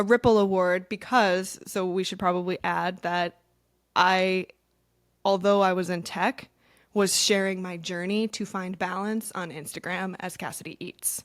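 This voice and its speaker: On a very clean recording with a silent background, a woman of medium pitch speaks at a fairly slow pace with big swings in loudness. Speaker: wellness coach and content creator. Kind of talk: casual chat. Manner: animated.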